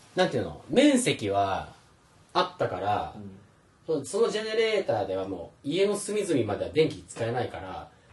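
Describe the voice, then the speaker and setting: A man's fairly high voice in very wide pitch swings, at a moderate pace, with noticeable background noise. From Philippines (Manila), half Filipino. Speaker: podcast host. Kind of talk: casual chat.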